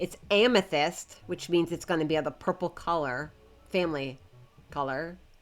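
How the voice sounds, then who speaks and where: A woman talks with a fairly low pitch. There is music behind her. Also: ordinary pitch variation. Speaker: game streamer. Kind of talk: casual live stream chat. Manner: halting, repeating words; trying to slow down.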